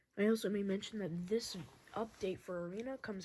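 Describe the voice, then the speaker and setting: A quiet woman talks at a moderate pace with ordinary pitch variation. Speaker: game creator and video maker. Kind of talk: gameplay update review. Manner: quiet, talking low.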